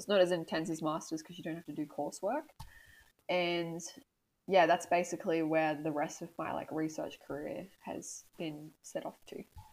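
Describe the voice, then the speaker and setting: Talking at a moderate pace with an Australian accent, a woman uses a fairly low pitch, ordinary pitch variation and big swings in loudness. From Australia, northern New South Wales. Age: 20s. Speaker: PhD student, marine scientist. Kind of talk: casual interview.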